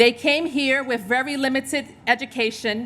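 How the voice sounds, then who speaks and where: With a New York accent, a woman speaks in a high pitch and a bright, sharp tone with fairly even intonation, in a very clean recording with a silent background. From New York, Puerto Rican family. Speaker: hospital executive. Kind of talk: speech at a charity luncheon. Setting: stage with audience.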